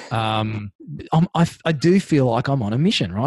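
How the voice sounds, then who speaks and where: A man talks at a moderate pace with lively intonation and a somewhat breathy sound. The recording is dry and close with no echo against a quiet background. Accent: Australian. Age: 40s. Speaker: tradie business coach. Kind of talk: interview.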